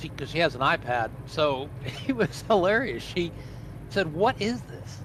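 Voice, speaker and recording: Noticeable background noise runs under the recording. A man speaks at a moderate pace with ordinary pitch variation. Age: 70s. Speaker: retired flight sim hobbyist. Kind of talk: casual chat.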